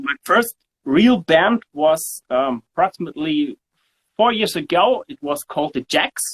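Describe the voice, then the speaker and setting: Speaking with a German accent, a man talks at a fairly slow pace with high pitch and very wide pitch swings. The sound is dry and close, with no echo. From southern Germany. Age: 40s. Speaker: bass guitarist. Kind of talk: interview. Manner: halting.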